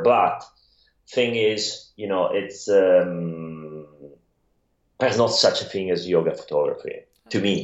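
Speaking at a fairly slow pace, a man talks with an Italian accent. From Italy. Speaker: photographer and yoga practitioner. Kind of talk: casual interview.

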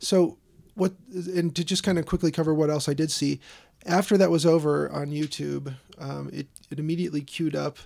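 The speaker talks at a moderate pace with a slight Chicago accent. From Chicago South Side. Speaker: podcast host. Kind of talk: casual chat.

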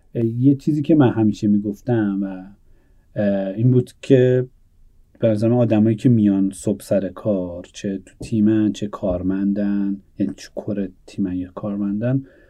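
A man's fairly low voice at a moderate pace, with ordinary pitch variation and big swings in loudness. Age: 30s. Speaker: startup founder. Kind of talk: interview. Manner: halting.

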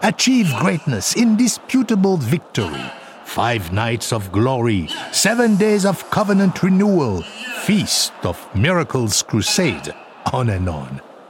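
Over noticeable background noise, the voice moves at a fairly slow pace with very wide pitch swings. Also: man. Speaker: radio documentary host. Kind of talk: scripted narration. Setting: studio.

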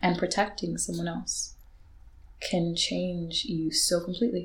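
A soft-spoken woman's voice, fairly low in pitch. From Zambia, then Ireland from age eight. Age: 20s. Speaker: poet and author. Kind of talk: casual chat; spoken word poetry.

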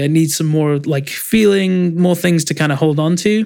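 Fairly high in pitch, a man with an English accent talks at a moderate pace. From England. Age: 20s. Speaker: music producer. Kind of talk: interview.

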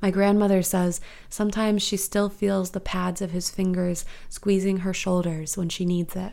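This voice has a dark, mellow tone and a monotone, flat intonation. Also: woman, medium pitch for a woman, moderate pace. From US Midwest, St. Louis, Missouri. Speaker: writer and music critic. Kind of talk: reading aloud.

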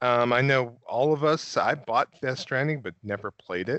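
This man has a plain, everyday voice. He talks at a moderate pace and a medium pitch. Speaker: podcast co-host. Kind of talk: casual chat. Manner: casual, fillers like you know.

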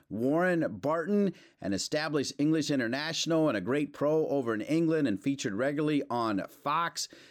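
In a very clean recording with a silent background, a man with a plain, everyday voice speaks at a fairly high pitch, using lively intonation, a fairly quick pace and very even loudness. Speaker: podcast host and broadcaster. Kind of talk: interview.

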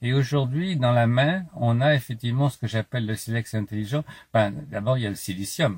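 Somewhat breathy, a man with a medium pitch talks at a moderate pace. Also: ordinary pitch variation. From France, Paris. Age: 70s. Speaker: philosopher and author. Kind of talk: interview. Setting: outdoors.

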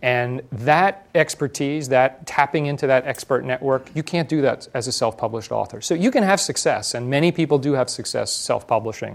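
Using an ordinary speaking voice, a man with an American accent talks at a fairly quick pace and medium pitch, with ordinary pitch variation. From New Jersey. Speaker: publishing executive. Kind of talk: onstage interview.

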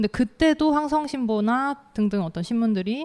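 A woman's voice with a fairly high pitch. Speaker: author. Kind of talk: panel discussion. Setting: stage with audience.

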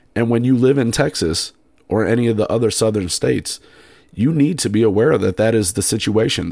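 A man with an unremarkable speaking voice talks fairly quickly, his medium pitch rising and falling in an ordinary way. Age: 30s. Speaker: podcast host. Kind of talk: solo podcast monologue. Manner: casual, with many fillers.

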